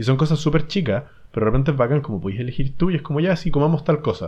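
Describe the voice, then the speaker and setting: Over a quiet background, a man talks at a very fast pace. His tone is dark and mellow, and somewhat breathy. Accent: Chilean. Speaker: podcast co-host. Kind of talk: casual chat.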